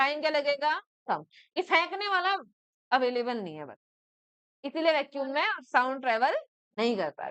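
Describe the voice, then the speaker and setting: A loud woman with a high-pitched voice. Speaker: school teacher. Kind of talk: classroom lecture. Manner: conversational, checks understanding often.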